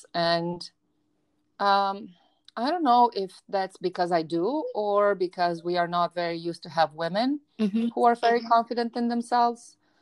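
A woman with a Romanian accent talks at a moderate pace, her medium pitch carried by lively intonation. The sound is dry and close with no echo, on a very clean recording with a silent background. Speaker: university professor and podcast host. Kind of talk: casual interview.

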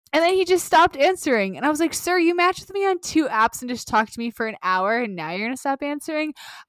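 A woman talks very fast at a high pitch with very wide pitch swings. The sound is dry and close with no echo. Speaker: podcast co-host. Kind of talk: casual chat.

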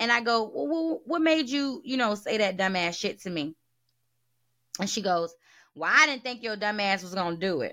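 Her tone is bright and sharp, and her pitch swings very widely. The woman speaks at a moderate pace in a very clean recording with a silent background. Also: medium pitch for a woman. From US South. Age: 30s. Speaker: podcast host. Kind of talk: casual monologue. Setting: home recording at desktop.

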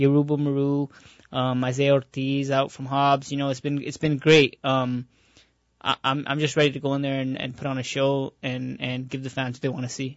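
Speaking at a fairly quick pace, a man with a fairly high voice keeps a monotone, flat intonation. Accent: New Mexico. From Albuquerque, New Mexico. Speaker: professional boxer. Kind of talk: radio interview. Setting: radio studio.

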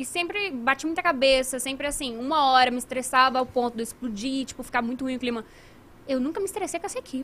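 Delivered at a very fast pace, the speech has ordinary pitch variation. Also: woman, high pitch for a woman. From Brazil, moved from Italy at age one. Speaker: gaming marketing professional and show host. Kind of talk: casual chat. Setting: live stream studio.

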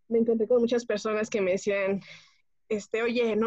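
With fairly even intonation, a woman uses a plain, everyday voice at a moderate pace. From Mexico, Pachuca, Hidalgo. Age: 20s. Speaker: homemaker. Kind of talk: casual chat.

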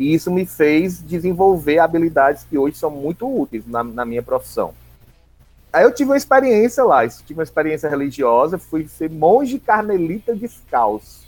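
A man's fairly high voice with very wide pitch swings at a moderate pace, music playing in the background. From Ceará, Brazil (Redenção/Palmácia, Maciço de Baturité). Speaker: school district coordinator and teacher. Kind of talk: interview, personal storytelling. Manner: fluent orator.

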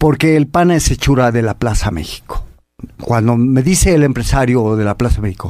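Speaking at a moderate pace in a normal speaking voice, a man uses lively intonation on a very clean recording with a silent background. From Mexico. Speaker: bullfighter. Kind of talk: interview. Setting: radio studio.

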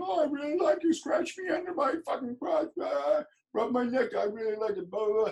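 At a moderate pace, a man performs a put-on character voice pitched extremely high. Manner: mocking.

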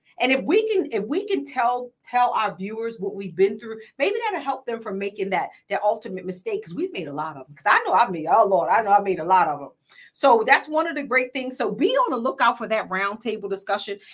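A woman's voice swings very widely in pitch. Her loudness rises and falls sharply too. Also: fairly high pitch for a woman, fairly quick pace. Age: 40s. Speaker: podcast host and business coach. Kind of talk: casual interview chat. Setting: podcast studio.

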